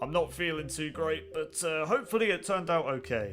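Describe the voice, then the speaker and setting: Speaking at a fairly quick pace, a man with a high pitch uses lively intonation. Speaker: gaming youtuber. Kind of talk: video game commentary. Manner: animated.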